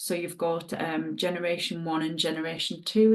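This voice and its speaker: In a Northumbrian accent, a woman speaks. Her pace is fairly slow. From northern England, Northumberland. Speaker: dog groomer and product distributor. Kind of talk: sales presentation. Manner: casual, chatty.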